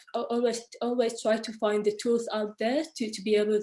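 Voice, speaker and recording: A woman with a non-native accent, a fairly high pitch and a dark, mellow tone, at a moderate pace. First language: not English. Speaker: architect. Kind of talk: panel discussion. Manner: halting.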